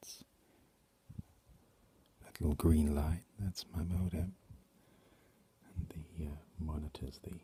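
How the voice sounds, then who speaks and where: A soft-spoken man with an English accent, a dark, mellow tone, a somewhat breathy quality, fairly even intonation and a fairly slow pace. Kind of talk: ASMR talk to camera.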